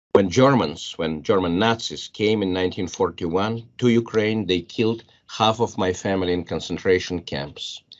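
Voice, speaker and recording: A man with a Russian accent and a fairly low voice speaks at a moderate pace, using ordinary pitch variation and hardly any pauses. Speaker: biology professor. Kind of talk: panel discussion. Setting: panel with audience. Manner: halting.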